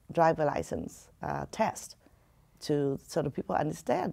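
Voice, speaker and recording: Speaking at a fairly slow pace, a woman talks with a Vietnamese accent. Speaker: community advocate. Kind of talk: interview. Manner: halting.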